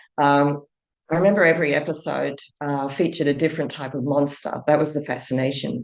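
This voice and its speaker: In an Australian accent, a woman with a very deep, low pitch speaks at a fairly quick pace with fairly even intonation. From Australia, Sydney. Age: 60s. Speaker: entrepreneur and teacher. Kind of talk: podcast interview.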